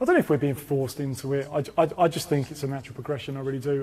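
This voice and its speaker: A dark, mellow tone colors this man's speech. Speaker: car reviewer. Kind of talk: casual chat. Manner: loud; animated.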